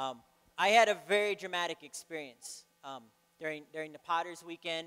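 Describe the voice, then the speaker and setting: Bright and sharp in tone, a man's high-pitched voice moves at a moderate pace with fairly even intonation. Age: 40s. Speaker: program graduate; speaker. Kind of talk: testimony. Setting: church stage with audience. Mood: earnest, reflective. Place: church. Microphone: handheld.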